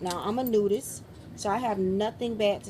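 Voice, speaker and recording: At a medium pitch, a woman speaks with fairly even intonation. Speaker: beauty vlogger. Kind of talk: product review vlog. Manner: fast.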